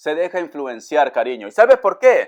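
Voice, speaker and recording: A man talks in an animated tone against a quiet background. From Peru, Áncash (Pomabamba). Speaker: tarot reader. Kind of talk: tarot reading.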